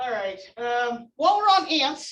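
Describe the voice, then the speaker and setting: This woman's voice is loud and high-pitched. Its tone is bright and sharp. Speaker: entomology instructor. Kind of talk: lecture.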